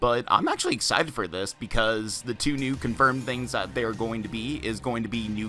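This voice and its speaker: Music plays in the background as a man talks at a fairly quick pace. His voice sits at a medium pitch with ordinary variation. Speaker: gaming YouTuber. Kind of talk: casual talk to camera. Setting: home USB microphone. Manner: hesitant, stuttering, many filler words; fast.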